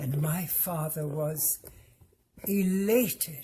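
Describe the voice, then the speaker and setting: Very slowly and somewhat breathily, a woman speaks in a very deep, low voice with a dark, mellow tone and ordinary pitch variation. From Germany, Hamburg. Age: 80s+. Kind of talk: testimony.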